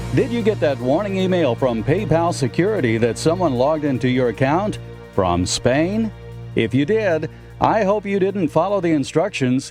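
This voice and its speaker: Moderate pace, very wide pitch swings and very even loudness over music in the background. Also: man, fairly high pitch for a man. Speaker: radio broadcaster. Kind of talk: radio feature segment.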